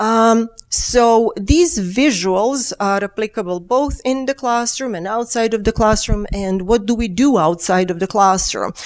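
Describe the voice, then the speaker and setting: In a Serbian accent, a woman speaks at a fairly high pitch with ordinary pitch variation and hardly any pauses. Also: fairly slow pace. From Serbia, Belgrade. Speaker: engineering professor. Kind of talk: keynote lecture. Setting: conference stage with audience. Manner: halting, with fillers.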